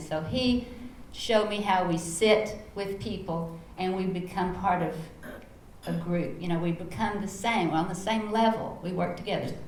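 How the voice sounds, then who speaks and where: A woman speaks in a Texas accent with ordinary pitch variation. Audible room echo and noticeable background noise fill the recording. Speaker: educator and foundation founder. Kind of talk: panel talk. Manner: animated.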